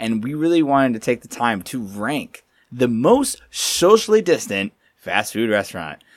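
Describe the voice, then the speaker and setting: Recorded very cleanly against a silent background, a man at medium pitch speaks at a moderate pace with lively intonation. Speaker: podcast co-host. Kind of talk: casual chat. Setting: studio. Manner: loud.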